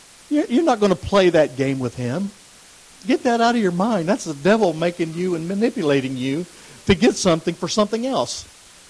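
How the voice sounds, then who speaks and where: Over noticeable background noise, a man with a high pitch talks at a fairly quick pace, with very wide pitch swings and long, frequent pauses. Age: 60s. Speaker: lay preacher teaching Bible study. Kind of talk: Bible study lesson. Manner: halting, repeats words.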